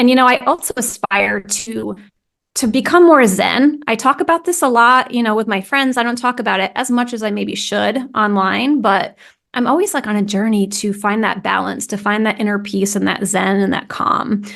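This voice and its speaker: A woman speaks in an American accent at a fairly high pitch. Her pitch varies in an ordinary way. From US Northeast, New England. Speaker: content strategy consultant, founder. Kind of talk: podcast interview. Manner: fast.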